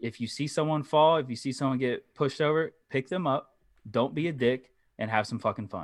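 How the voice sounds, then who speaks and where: At a fairly quick pace, a man talks in an ordinary speaking voice. His pitch sits at a medium level. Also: ordinary pitch variation. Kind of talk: casual chat. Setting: video call.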